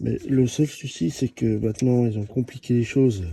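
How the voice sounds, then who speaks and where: On a very clean recording with a silent background, a man speaks in a somewhat breathy, dark, mellow voice at a medium pitch. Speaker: amateur mechanic. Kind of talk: tutorial. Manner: halting.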